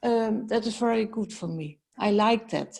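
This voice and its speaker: A woman speaks at medium pitch in a Dutch accent. Her pace is fairly slow, with vocal fry. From Netherlands. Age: 70s. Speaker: healer. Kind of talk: personal consultation. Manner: halting.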